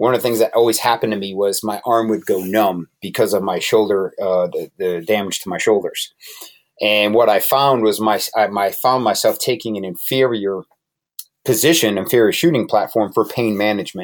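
An unremarkable speaking voice with an American accent, at a moderate pace with ordinary pitch variation. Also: man, fairly low pitch for a man. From Connecticut. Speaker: tactical trainer and military veteran. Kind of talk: casual interview.

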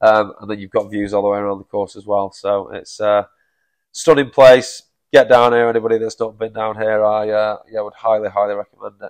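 A man talks at a fairly quick pace in a fairly low, monotone voice with flat intonation and big swings in loudness. The sound is dry and close with no echo, against a quiet background. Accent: Manchester. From Manchester, England. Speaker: golf operations director. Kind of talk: casual chat.

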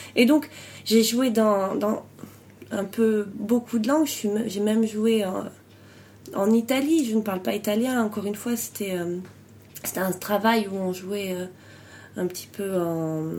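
In a dark, mellow tone, a woman speaks at a fairly slow pace with long, frequent pauses. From France. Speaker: improv performer and coach. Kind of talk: interview.

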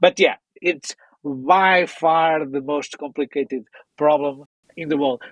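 A man with a Portuguese accent speaks at a very slow pace in a fairly high pitch, with fairly even intonation and a dry, close sound with no echo. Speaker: audio software company founder. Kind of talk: interview.

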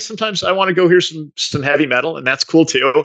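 A man's voice with a bright, sharp tone. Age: 50s. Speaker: sales executive. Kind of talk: interview.

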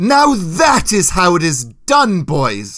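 Putting on a character voice, a man speaks slowly at a high pitch with a fairly bright tone and very wide pitch swings.

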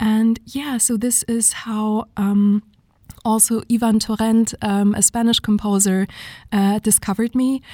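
In a German accent, a dark, mellow voice talks at a moderate pace with monotone, flat intonation, in a dry, close sound with no echo on a very clean recording with a silent background. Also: woman. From southern Germany (Munich). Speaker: singer. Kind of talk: interview.

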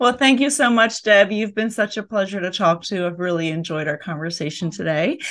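A woman with an American accent has an ordinary speaking voice at medium pitch. Her intonation is lively, and she barely pauses. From US, inner city. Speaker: podcast host. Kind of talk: interview.

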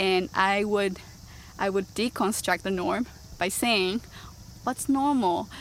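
With a Japanese accent, a woman speaks at a very even loudness, leaving long, frequent pauses. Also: medium pitch for a woman, ordinary pitch variation, fairly slow pace. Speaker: social justice advocate. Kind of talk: interview.

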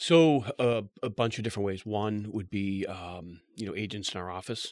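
Heard in a very clean recording with a silent background and a dry, close sound with no echo, a man with a plain, everyday voice talks at a moderate pace and fairly low pitch with fairly even intonation. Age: 40s. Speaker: real estate team leader. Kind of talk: casual interview.

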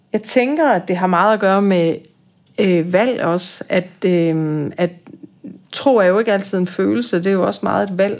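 This is an ordinary speaking voice from a woman, medium in pitch. She talks at a fairly slow pace with ordinary pitch variation. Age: 50s. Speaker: boarding school teacher and psychotherapist. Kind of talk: interview about faith.

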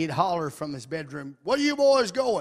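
In an Arkansas accent, a man talks at a moderate pace with an animated tone and lively intonation. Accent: Southern US (Arkansas). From Arkansas, US South. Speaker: visiting preacher. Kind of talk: sermon.

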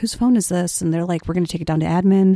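In a Chicago accent, a woman speaks with a dark, mellow tone, recorded with a dry, close sound and no echo. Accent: Chicago-area American. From US Midwest, Wheeling, Illinois (Chicago suburbs). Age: 20s. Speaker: high school teacher. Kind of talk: casual chat. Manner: animated.

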